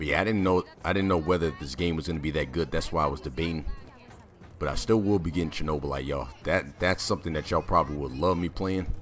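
A man's very deep, low voice at a very fast pace with ordinary pitch variation, over music in the background. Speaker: gaming YouTuber. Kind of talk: live gameplay commentary. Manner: casual, rambling.

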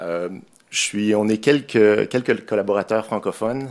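Here a man talks in a Quebec accent with ordinary pitch variation. His pace is fairly slow. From Quebec, Montreal. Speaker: software developer, conference speaker. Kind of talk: technical conference talk; conference tech talk. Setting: conference room with audience. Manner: hesitant, many fillers. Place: hall.

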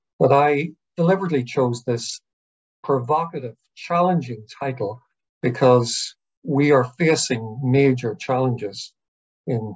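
Against a quiet background, a man with an Irish accent speaks at a fairly slow pace in a somewhat breathy voice. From Ireland. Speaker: psychiatrist and professor. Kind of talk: online lecture with Q&A. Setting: video call. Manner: hesitant, many fillers. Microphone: video call.

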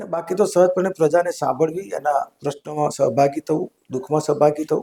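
Recorded dry and close with no echo, a man speaks at a fairly high pitch with a dark, mellow tone and ordinary pitch variation. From north Gujarat, India. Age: 60s. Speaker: politician, member of parliament. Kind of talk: interview.

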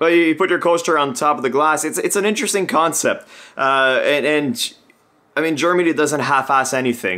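With lively intonation and a bright, sharp tone, a man speaks at a fairly high pitch and a fairly quick pace. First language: French. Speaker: beer channel co-host, brewing student. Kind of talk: casual chat. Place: home room.

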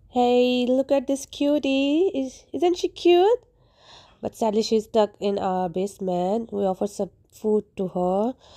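A woman's fairly high, dark, mellow voice at a fairly slow pace, with very wide pitch swings and a dry, close sound with no echo. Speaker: vlogger and working mother. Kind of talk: personal vlog monologue. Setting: at home, handheld camera.

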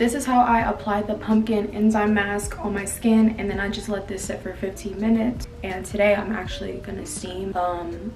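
Light background noise sits under the speech, with audible room echo. The intonation is monotone and flat. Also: woman, moderate pace. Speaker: beauty vlogger. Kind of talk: casual vlog chat. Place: home room. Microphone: phone near.

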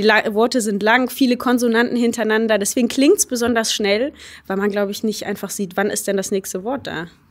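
In a normal speaking voice, a woman talks at a fairly quick pace, her fairly high pitch held in fairly even intonation. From Germany. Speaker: hurdle sprinter. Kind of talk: interview. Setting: university.

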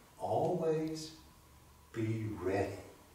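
A man speaks at a very slow pace in a medium pitch with a dark, mellow tone. Strong room echo surrounds his voice. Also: lively intonation.

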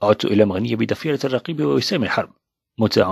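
Dry and close with no echo, a man talks at a fairly quick pace with lively intonation and vocal fry. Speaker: audiobook narrator. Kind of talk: reading aloud.

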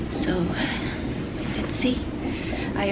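A woman talks at a very slow pace over loud background noise. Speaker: expectant mother vlogger. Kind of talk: casual vlog chat. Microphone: phone near.

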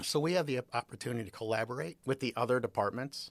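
A man with an American accent has an unremarkable speaking voice at a medium pitch, with ordinary pitch variation. The recording is very clean and dry, with a silent background, a close sound and no echo. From Chicago area, US Midwest. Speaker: university professor. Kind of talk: interview.

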